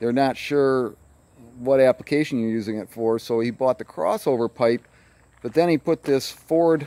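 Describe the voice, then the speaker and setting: In a dry sound with no echo, a man speaks at a fairly slow pace with a dark, mellow tone and ordinary pitch variation. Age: 60s. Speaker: hobby pilot. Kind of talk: casual show-and-tell. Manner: halting. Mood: proud, enthusiastic. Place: open country. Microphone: phone near.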